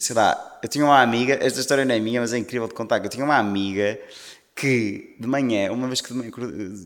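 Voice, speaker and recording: A man's intonation stays fairly even at a medium pitch. He speaks very fast. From northern Portugal, Maia. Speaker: singer. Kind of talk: casual interview chat.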